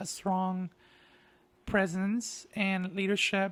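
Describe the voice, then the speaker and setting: A man's high-pitched voice in a Spanish accent, monotone and flat, with a dry, close sound with no echo and a very clean recording over a silent background. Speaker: artist and grant writing consultant. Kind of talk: casual monologue.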